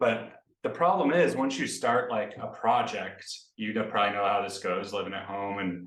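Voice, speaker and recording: A man speaks with an American accent and fairly even intonation. His moderate pace is heard with audible room echo. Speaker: software developer. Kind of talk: casual chat.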